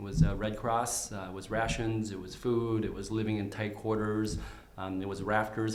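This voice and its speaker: Amid noticeable background noise and audible room echo, a man speaks at a moderate pace in a monotone, flat intonation. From Vietnam, raised in St. Cloud, Minnesota from age nine. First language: Vietnamese. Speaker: candidate for county attorney. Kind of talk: interview. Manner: halting, many fillers and repeats.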